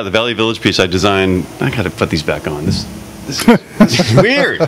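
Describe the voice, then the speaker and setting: With noticeable background noise behind it, the voice moves at a fairly quick pace through very wide pitch swings. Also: man, fairly low pitch for a man. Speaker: artist, interview guest.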